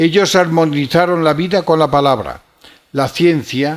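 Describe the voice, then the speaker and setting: A man with a Galician accent speaks at a fairly slow pace. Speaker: archbishop. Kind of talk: lecture. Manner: formal.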